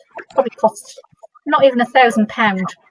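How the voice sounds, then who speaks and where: A woman with a northern English accent speaks at a fairly quick pace. Her voice sounds dry and close, with no echo. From northern England. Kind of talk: workshop discussion. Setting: workshop with audience.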